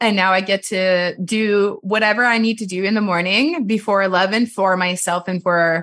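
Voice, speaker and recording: With a Quebec accent, a woman speaks at medium pitch with ordinary pitch variation and a bright, sharp tone against a quiet background. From Quebec, Montreal area. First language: French. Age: 30s. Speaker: massage therapist. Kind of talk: casual chat. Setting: video call.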